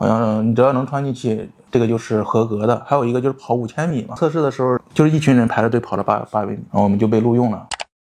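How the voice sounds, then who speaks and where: The speech runs at a very fast pace with hardly any pauses and ordinary pitch variation. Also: man, medium pitch for a man. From northern China, Hebei (Baoding). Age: 30s. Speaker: former factory worker, day laborer. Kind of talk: interview.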